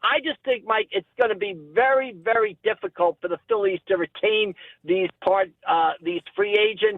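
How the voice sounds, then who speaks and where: Here a man speaks in a high voice. His pace is moderate and his pitch variation ordinary. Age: 60s. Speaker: sports journalist. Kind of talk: radio sports talk.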